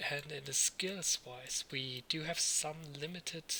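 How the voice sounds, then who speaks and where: Noticeable background noise surrounds a man with a non-native accent. His pitch is fairly high and his intonation fairly even. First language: not English. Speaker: let's read gamer. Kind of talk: casual gameplay commentary.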